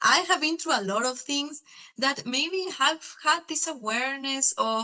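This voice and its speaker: A woman's raised, projected voice at high pitch, fairly slow pace and lively intonation. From Mexico. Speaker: spiritual student. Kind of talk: interview. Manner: halting.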